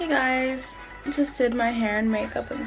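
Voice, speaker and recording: Over music in the background, a woman with an American accent speaks at a high pitch with ordinary pitch variation. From southern California, USA. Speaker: YouTuber, Japan lifestyle vlogger. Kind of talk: casual talk to camera. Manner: fast, casual, frequent 'like'.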